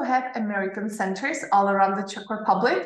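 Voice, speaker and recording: A woman talks at a moderate pace, with room echo clearly audible. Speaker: study advisor hosting webinar. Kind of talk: presentation. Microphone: webcam.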